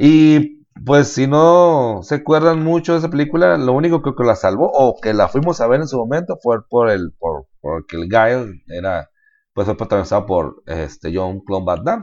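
A man with a Mexican accent talks at a moderate pace and medium pitch, his voice making very wide pitch swings. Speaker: podcast co-host. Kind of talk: casual chat.

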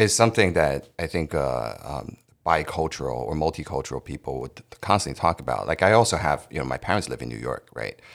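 A man's very deep, low voice with vocal fry, a fairly quick pace, lively intonation, big swings in loudness and hardly any pauses. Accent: American. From United States. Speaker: podcast host. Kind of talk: casual chat.

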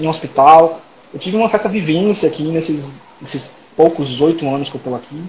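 Noticeable background noise accompanies a man speaking at a moderate pace in a high pitch. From Salvador, Bahia, Brazil. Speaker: digestive surgeon. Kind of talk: casual interview.

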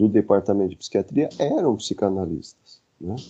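A man speaks at a fairly low pitch with lively intonation. His pace is fairly slow. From interior of São Paulo state, Brazil (Dracena). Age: 50s. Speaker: psychiatrist and psychoanalyst. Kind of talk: casual interview conversation. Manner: halting, with many repetitions.

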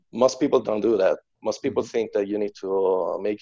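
A man with an Italian accent is heard in a dry, close sound with no echo. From central Italy, Macerata. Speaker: drummer and music teacher. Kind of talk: casual interview. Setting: video call. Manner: halting, with hesitations.

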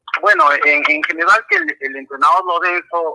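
A man talks at a moderate pace, the sound dry and close with no echo. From Peru, Arequipa. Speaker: caller, football fan. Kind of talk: call-in opinion.

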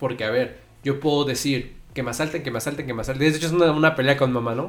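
There's audible room echo as a man talks. Behind him, music plays. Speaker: podcast co-host. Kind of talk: casual chat.

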